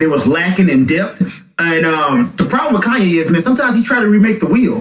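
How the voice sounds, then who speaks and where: A man's high-pitched voice with lively intonation. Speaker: podcast host. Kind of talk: casual banter about music. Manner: loud, animated.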